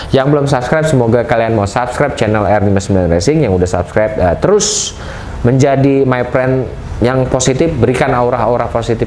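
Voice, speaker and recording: Through noticeable background noise and audible room echo, a man speaks at a fairly quick pace with ordinary pitch variation. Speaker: YouTuber and motorbike racing organizer. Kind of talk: casual vlog monologue, unboxing. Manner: animated.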